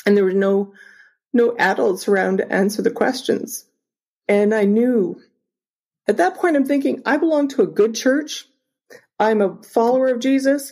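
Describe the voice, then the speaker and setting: In a Canadian accent, the speaker has a dark, mellow tone and lively intonation at a moderate pace. Loudness stays very even, with long, frequent pauses. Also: woman, fairly high pitch for a woman. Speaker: humanitarian charity cofounder. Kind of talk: personal testimony.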